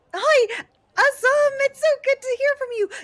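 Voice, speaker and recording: In a squeaky put-on character voice, a woman speaks at an extremely high pitch and a moderate pace. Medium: actual play. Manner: gentle, polite, timid.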